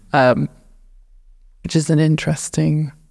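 Very slowly, a woman with a southern English accent speaks in a dry, close sound with no echo. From England, north of Luton. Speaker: painter. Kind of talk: interview. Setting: art gallery.

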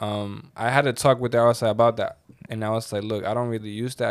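A man with a Venezuelan accent, medium pitch and a very fast pace. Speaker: podcast co-host. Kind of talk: casual chat.

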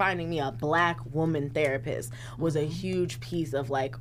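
A woman speaks at a fairly slow pace in a very deep, low voice with ordinary pitch variation, and some room echo is audible. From South Sacramento, California. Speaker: counselor and advocate. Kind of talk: casual chat.

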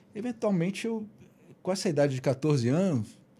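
Using a normal speaking voice, a man talks at a moderate pace with a fairly high pitch. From Rio de Janeiro, Brazil. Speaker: guitarist and musician. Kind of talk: casual interview chat. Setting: podcast studio.

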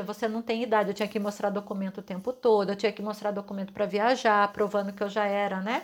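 Almost without pauses, a woman of medium pitch speaks at a very fast pace on a very clean recording with a silent background. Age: 40s. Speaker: podcast host, holistic therapist. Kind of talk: reflective monologue.

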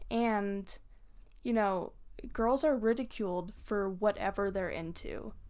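A woman with a fairly high pitch speaks at a very slow pace with ordinary pitch variation. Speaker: podcast co-host. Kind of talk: casual chat.

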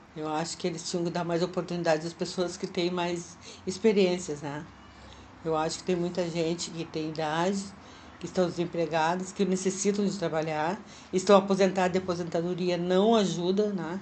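In an unremarkable speaking voice, a woman with a fairly low pitch talks at a fairly quick pace, her intonation fairly even. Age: 60s. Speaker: retiree working as a freelancer. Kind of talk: interview testimony.

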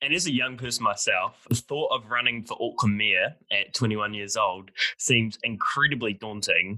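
At a moderate pace, a man with a New Zealand accent speaks in a dry, close sound with no echo. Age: young. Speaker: student podcast host. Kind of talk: interview.

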